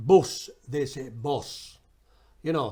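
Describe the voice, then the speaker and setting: The recording is very clean, and the background is silent. A man's tone is dark and mellow, and his pitch varies in an ordinary way. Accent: Yorkshire. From Barnsley, Yorkshire. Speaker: singer and film documentarian. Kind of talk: interview answer. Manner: casual, chatty.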